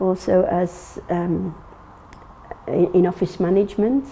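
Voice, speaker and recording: Noticeable background noise sits behind this recording. A woman with an English accent speaks at a medium pitch in a monotone, flat way. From England. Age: 60s. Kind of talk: personal testimony interview. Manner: halting, many fillers and restarts.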